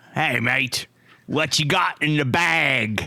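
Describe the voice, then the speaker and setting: A man puts on a raspy character voice in a Cockney accent, pitched fairly high. He talks at a very slow pace. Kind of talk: casual, slangy.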